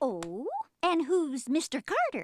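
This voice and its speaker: Her cartoonish character voice is high-pitched with very wide pitch swings, recorded with a dry, close sound and no echo. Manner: prying.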